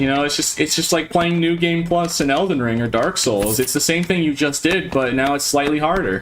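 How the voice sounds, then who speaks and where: A man's fairly high-pitched voice at a fairly quick pace, hardly any pauses and very even loudness, over noticeable background noise. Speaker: video game streamer. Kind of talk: live gaming stream chat. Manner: monotone.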